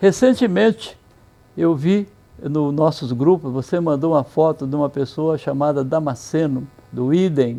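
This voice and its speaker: A man speaks at a fairly slow pace with a fairly high pitch and ordinary pitch variation. His tone is dark and mellow. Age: 70s. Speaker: interview show host, pharmacy chain founder. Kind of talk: casual interview chat; presenter intro to camera. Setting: walking outdoors on a city avenue.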